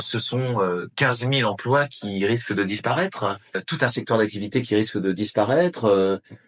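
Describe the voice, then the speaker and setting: An ordinary speaking voice, neither rushed nor slow, its pitch moving in an ordinary way. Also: man. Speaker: voice actor (French dubbing actor). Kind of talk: interview answer. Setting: interview. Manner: earnest, concerned, speaking with conviction.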